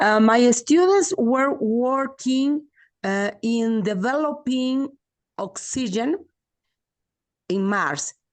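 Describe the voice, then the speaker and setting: A woman with a Spanish accent speaks at a high pitch with lively intonation. Her pace is very slow, with long, frequent pauses. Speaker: primary school teacher. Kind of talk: casual chat. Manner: halting.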